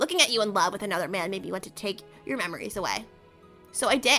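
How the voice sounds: A woman's strained, put-on character voice at a medium pitch and very fast pace, with faint music in the background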